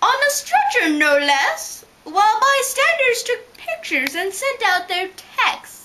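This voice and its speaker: A female-sounding put-on character voice at an extremely high pitch. It moves at a fairly slow pace. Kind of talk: rhyming story reading.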